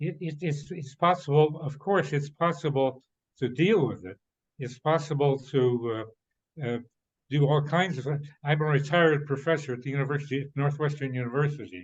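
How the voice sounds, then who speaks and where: With an American accent, a somewhat breathy man speaks at a fairly high pitch, with ordinary pitch variation and long, frequent pauses. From US Midwest, Cincinnati, Ohio. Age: 90s. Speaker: retired professor. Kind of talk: conference discussion comment. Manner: halting, many fillers and restarts.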